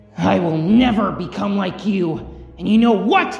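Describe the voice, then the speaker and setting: A put-on character voice at a middle pitch moves at a moderate pace, with a slight echo. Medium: dub. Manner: distressed, defiant.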